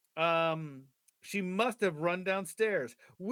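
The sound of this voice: Quiet background behind an unforced reading voice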